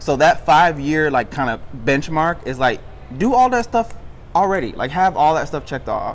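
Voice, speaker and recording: This man talks at a moderate pace in a fairly high pitch, his tone animated and his intonation lively. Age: 20s. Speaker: podcast host. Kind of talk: casual chat.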